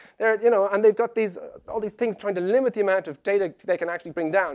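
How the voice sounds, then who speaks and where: In an Irish accent, a man with a high voice and animated tone speaks in a dry, close sound with no echo, on a very clean recording with a silent background. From Ireland. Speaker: web conversion specialist, conference speaker. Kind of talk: conference presentation.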